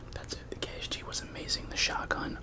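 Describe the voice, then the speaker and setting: Noticeable background noise sits under a moderate-paced whisper. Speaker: ASMR creator. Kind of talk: casual talk to camera. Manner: whispered.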